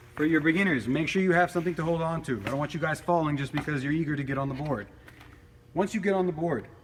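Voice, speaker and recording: Pitched fairly high, a man speaks at a very fast pace. His pitch varies in an ordinary way. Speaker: product demonstrator. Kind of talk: tutorial. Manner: loud; casual.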